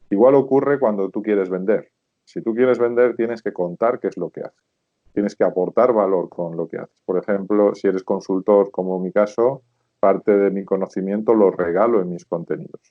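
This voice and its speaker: A man speaks with a Spanish accent. His pitch is fairly low. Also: ordinary pitch variation, moderate pace. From Spain, rural Zamora province. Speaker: sales expert and consultant. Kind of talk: interview.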